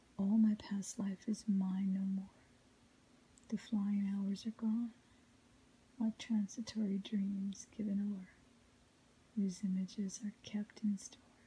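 Soft-spoken whispering at a fairly slow pace, with light background noise. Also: long, frequent pauses. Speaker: ASMR reader. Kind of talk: whispered ASMR poetry reading. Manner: quiet, melodic, soft; whispered. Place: home room.

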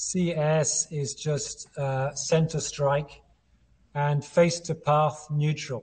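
A man talks in a flat, monotone way with a somewhat breathy voice. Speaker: guest. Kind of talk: interview answer explaining a chart. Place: home room. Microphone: video call.

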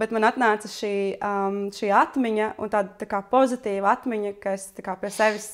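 Against a quiet background, a woman is talking. Her intonation stays fairly even. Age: 30s. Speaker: friend of the host. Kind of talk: casual chat. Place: home room.

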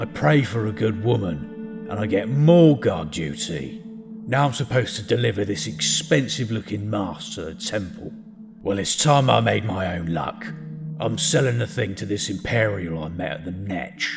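Clear music plays in the background as a man talks at a moderate pace in a fairly low voice. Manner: bitter, resentful, scheming.

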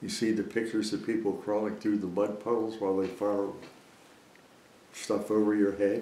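A fairly low-pitched man's voice with audible room echo. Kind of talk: interview answer. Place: home room.

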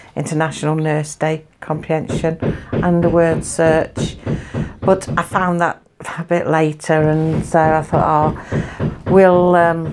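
A woman speaks at a very slow pace. Noticeable background noise runs under her voice. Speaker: home vlogger. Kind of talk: casual vlog chat. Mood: cheerful, chatty. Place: home room. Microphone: phone near.

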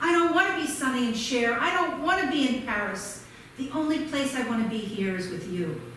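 A woman speaks at a fairly quick pace in a high voice with very wide pitch swings. There is strong room echo and light background noise. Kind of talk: theatrical storytelling monologue with character voices. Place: stage.

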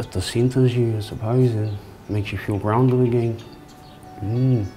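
A man at medium pitch and moderate pace, with monotone, flat intonation, long, frequent pauses and music in the background. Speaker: prison inmate. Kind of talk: interview answer. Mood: calm, reflective. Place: hall. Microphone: lapel.

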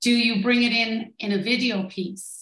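A woman with a Limerick accent speaks with ordinary pitch variation over light background noise, and room echo can be heard. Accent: Irish (Limerick). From Ireland, Limerick; Ireland. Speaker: tourism business consultant; presenter. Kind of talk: online workshop presentation. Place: home room.

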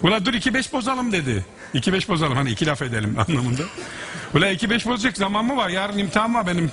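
Over light background noise, a man with an Aegean accent talks at a very fast pace, his pitch swinging very widely. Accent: Aegean Turkish dialect. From Aegean region of Turkey. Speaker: musician. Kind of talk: anecdote in conversation. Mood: amused, smiling. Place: stage. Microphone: headset.

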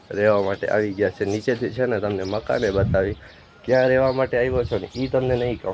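Noticeable background noise sits behind a man at medium pitch. He keeps his intonation fairly even. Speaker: vlogger. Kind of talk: casual vlog. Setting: outdoors on a rooftop.

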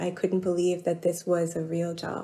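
Fairly low in pitch, a woman with an American accent speaks at a moderate pace. Her tone is dark and mellow, with vocal fry. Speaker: journal editor. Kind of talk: interview.

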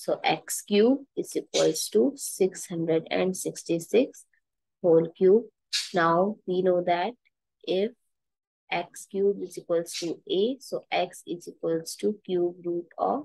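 Recorded dry with no echo, a woman speaks at a very slow pace. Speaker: math teacher. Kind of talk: tutorial. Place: home room. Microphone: headset.

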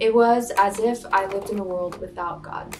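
A woman speaks at a fairly slow pace over clear background music. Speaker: spoken word poet. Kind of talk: spoken word poetry performance. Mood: earnest, emotional, reflective. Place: home room. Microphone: lapel.

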